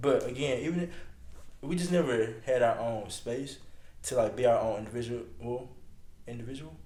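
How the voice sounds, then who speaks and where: With audible room echo, a man mumbles in a dark, mellow tone at medium pitch, adding vocal fry and lively intonation at a moderate pace broken by long, frequent pauses. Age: 20s. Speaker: podcast host's boyfriend. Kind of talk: casual chat. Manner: mumbling.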